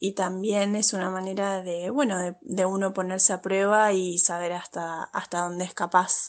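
Against a quiet background, a woman with an Argentine accent speaks at a moderate pace and medium pitch with fairly even intonation. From Argentina. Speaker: legal adviser. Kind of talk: recorded voice message. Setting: WhatsApp voice recording.

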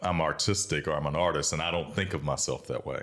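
Speaking at a fairly quick pace in a South Carolina accent, a man uses a very deep, low pitch with ordinary pitch variation. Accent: US Southern (South Carolina). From South Carolina (Bamberg, Sumter). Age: young. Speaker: entrepreneur and leather craftsman, former lobbyist. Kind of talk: casual interview. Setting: studio.

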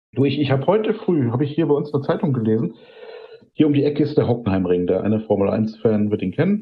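Talking at a very fast pace, a man of medium pitch makes very wide pitch swings. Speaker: podcast co-host and photographer. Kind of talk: casual chat.

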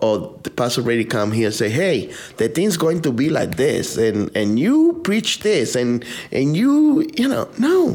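A man speaks with a Dominican accent at a fairly slow pace. His loudness stays very even. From Dominican Republic. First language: Spanish. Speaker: pastor. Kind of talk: interview. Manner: halting.

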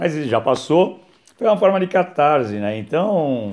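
In a dark, mellow tone, a man delivers his words at a moderate pace. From São Paulo, Brazil. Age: 60s. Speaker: author and philosophy teacher. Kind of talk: casual talk about his book. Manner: hesitant, many fillers.

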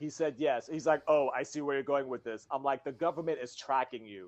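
This man has a normal speaking voice at a fairly high pitch. He talks at a moderate pace with ordinary pitch variation. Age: 40s. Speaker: podcast host and comedian. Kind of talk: casual chat.

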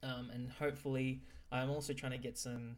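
A man talks with an Australian accent at medium pitch. His intonation is fairly even. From Brisbane, Australia. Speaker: podcast host. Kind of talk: casual interview; episode intro. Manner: halting, many fillers.

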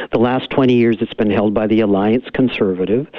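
An unremarkable speaking voice, a man at medium pitch with ordinary pitch variation and a Canadian accent. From Canada, Cariboo region of BC. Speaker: lawyer and political candidate. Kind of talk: phone interview. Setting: phone call.

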